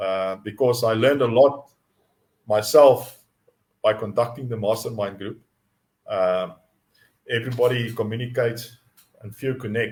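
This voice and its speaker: A man with a medium pitch and a South African accent speaks at a moderate pace, somewhat breathy, with fairly even intonation. His loudness swings widely, and long pauses come often. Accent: Afrikaans South African English. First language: Afrikaans. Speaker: mindset coach. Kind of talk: live teaching stream. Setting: live online stream. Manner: halting, many repetitions and fillers.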